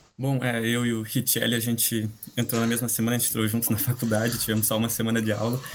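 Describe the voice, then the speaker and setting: A man at a medium pitch, very fast pace, flat monotone intonation and very even loudness. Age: 20s. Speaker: university student. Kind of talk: casual chat.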